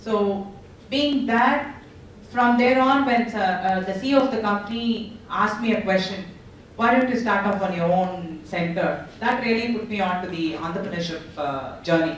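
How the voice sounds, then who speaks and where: A woman's medium-pitched voice at a moderate pace, ordinary pitch variation, audible room echo and noticeable background noise. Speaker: entrepreneur. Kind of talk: panel discussion.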